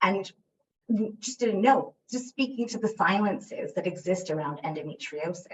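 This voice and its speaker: Somewhat breathy female speech with lively intonation. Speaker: academic researcher. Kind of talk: academic presentation. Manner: hesitant, many fillers.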